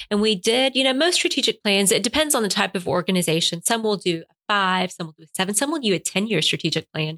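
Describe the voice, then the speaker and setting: Very fast with hardly any pauses, the voice has a bright, sharp tone, very wide pitch swings and big swings in loudness, in a very clean recording with a silent background and a dry, close sound with no echo. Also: woman, medium pitch for a woman. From US, Cuban immigrant family. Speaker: chamber of commerce president. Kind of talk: interview. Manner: sometimes talks too fast.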